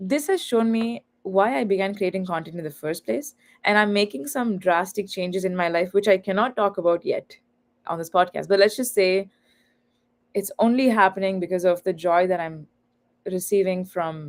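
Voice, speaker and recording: Speaking with a Tamil accent, a woman at medium pitch keeps a moderate pace and ordinary pitch variation. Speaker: author and content creator. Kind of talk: livestream podcast interview. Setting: online live stream.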